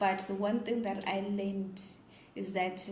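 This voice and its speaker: Through noticeable background noise and audible room echo, a woman with a Zimbabwean accent speaks at a medium pitch in a monotone, flat intonation. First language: Ndebele. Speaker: vlogger. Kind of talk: casual vlog monologue.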